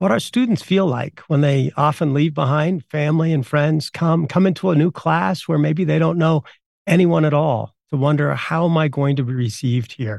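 An unremarkable speaking voice with ordinary pitch variation and a moderate pace. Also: man. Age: 50s. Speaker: university professor. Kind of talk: interview.

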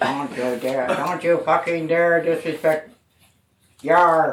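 In a put-on character voice, a man speaks at a fairly slow pace and a fairly high pitch. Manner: gruff, indignant.

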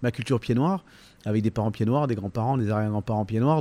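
Ordinary pitch variation runs through the dark, mellow tone of a man's voice. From Provence, Var (Toulon). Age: 50s. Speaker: comedian and musician. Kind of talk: interview. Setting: hotel. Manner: hesitant, many fillers and repetitions.

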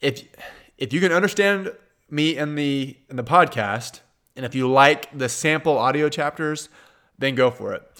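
In a Kansas accent, a man talks at a fairly slow pace with long, frequent pauses, using a fairly high, bright and sharp voice with ordinary pitch variation, on a very clean recording with a silent background. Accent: Kansas twang, Midwestern American. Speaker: podcast host and accountant answering exam questions. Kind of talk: listener Q&A advice podcast.

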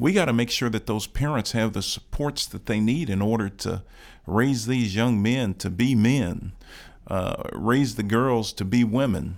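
Speaking in a plain, everyday voice, a man of medium pitch talks at a fairly slow pace with an American accent. The recording is very clean with a silent background, and his pitch varies in an ordinary way. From Chicago South Side. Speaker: county commissioner. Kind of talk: interview. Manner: oratorical.

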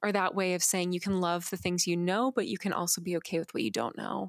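A plain, everyday voice at a fairly quick pace with fairly even intonation, dry and close with no echo, in a very clean recording with a silent background. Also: woman. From Arizona, US (Phoenix). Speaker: poet. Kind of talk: casual interview.

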